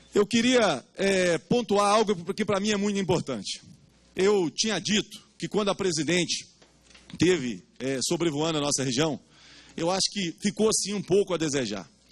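Moderately paced male speech over a quiet background. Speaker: guest. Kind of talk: public hearing speech. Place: meeting room. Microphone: handheld.

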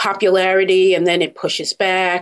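Medium in pitch, a woman speaks with an American accent. Hers is a plain, everyday voice. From Brooklyn, New York. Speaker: gift basket business expert and author. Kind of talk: interview.

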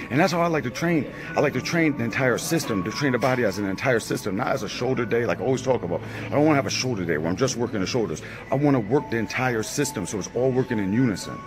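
A man talking at a very fast pace over clear music in the background. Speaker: fitness vlogger. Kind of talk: tutorial. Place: gym. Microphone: phone near.

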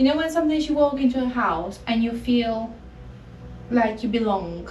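At a moderate pace, a woman talks in a fairly high pitch with a slightly mellow tone and ordinary pitch variation over faint background noise.

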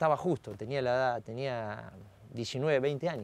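A man talks at a moderate pace, his voice sounding dry with no echo. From Argentina, Salto, Buenos Aires province; Buenos Aires province, Argentina. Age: 40s. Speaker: racing driver; guest. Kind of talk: interview. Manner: halting, many fillers. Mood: relaxed, reflective, smiling. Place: studio. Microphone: lapel.

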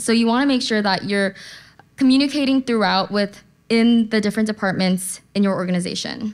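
A woman talks at a very fast pace in a fairly high pitch, with ordinary pitch variation. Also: quiet background. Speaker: conference speaker. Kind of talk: conference talk. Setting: stage with audience. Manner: casual, uses slang. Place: hall. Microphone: podium.

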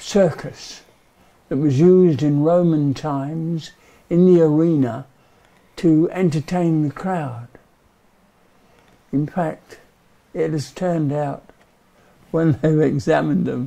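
A man speaks at a very slow pace in a dark, mellow tone and a fairly high pitch. His intonation stays fairly even, with long, frequent pauses. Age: 80s+. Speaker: volunteer church ossuary steward. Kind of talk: documentary interview reflection. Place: tunnel cave.

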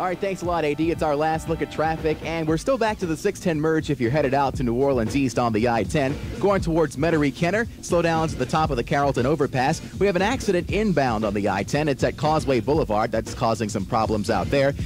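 Clear music plays behind a man who talks at a very fast pace with hardly any pauses. The sound is dry, with no echo. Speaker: radio traffic reporter. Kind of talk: radio traffic report. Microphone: old recording.

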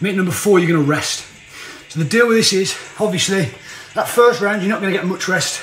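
A man's high voice at a fairly quick pace with ordinary pitch variation, with audible room echo. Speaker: fitness trainer. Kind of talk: workout tutorial. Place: home room. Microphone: phone near.

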